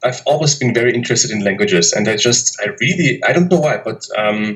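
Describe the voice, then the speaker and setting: A man with a German accent talks at a fairly quick pace with hardly any pauses. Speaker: polyglot YouTuber. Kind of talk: interview. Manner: hesitant, many fillers.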